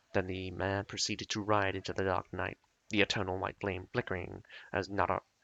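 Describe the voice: Someone reads aloud plainly.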